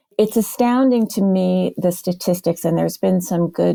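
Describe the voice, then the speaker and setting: A woman talks at a moderate pace on a very clean recording with a silent background, the sound dry and close with no echo. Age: 60s. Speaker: career coach, former hiring manager. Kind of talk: podcast interview.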